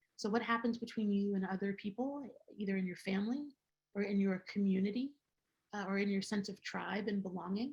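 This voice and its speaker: Speaking fairly quickly but with long, frequent pauses, a woman uses a somewhat breathy, medium-pitched voice and fairly even intonation. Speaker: psychedelic therapy lecturer. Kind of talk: lecture.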